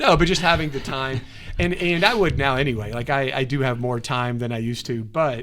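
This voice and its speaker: Ordinary pitch variation runs through a man's fairly high voice. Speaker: student pastor and podcast host. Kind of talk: casual chat. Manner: fast; hesitant, many fillers.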